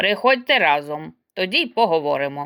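At a moderate pace, a woman speaks in a put-on character voice. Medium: read story. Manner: curt, blunt.

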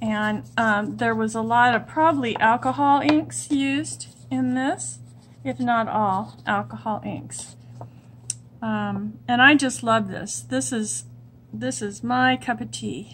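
A woman at a very slow pace, with very wide pitch swings and light background noise. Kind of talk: casual craft show-and-tell. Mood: delighted, warm. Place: home room.

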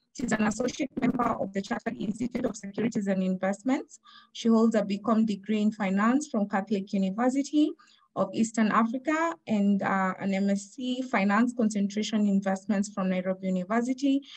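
Fairly quick speech from a woman of medium pitch, slightly mellow in tone, with ordinary pitch variation

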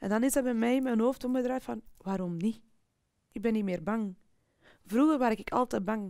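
At a moderate pace, a dark, mellow voice speaks with fairly even intonation over a quiet background. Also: woman. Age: 40s. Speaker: sales professional. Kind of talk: personal testimony interview. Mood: personal, reflective storytelling. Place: studio.

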